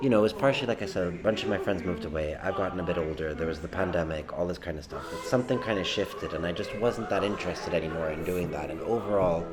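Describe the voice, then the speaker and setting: Against noticeable background noise and audible room echo, a man with a very deep, low pitch races along at a very fast pace with hardly any pauses and ordinary pitch variation. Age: 30s. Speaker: pub-goer interviewee. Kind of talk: group discussion. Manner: halting.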